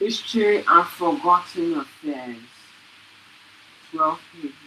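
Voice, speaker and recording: A woman's fairly slow speech with long, frequent pauses and very wide pitch swings, over noticeable background noise. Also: big swings in loudness. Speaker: student presenter. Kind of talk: reading aloud. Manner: halting; soft-spoken. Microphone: too quiet at first.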